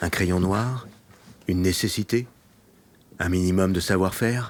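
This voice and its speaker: At a very slow pace, a man talks in a very deep, low pitch with ordinary pitch variation. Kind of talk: documentary narration.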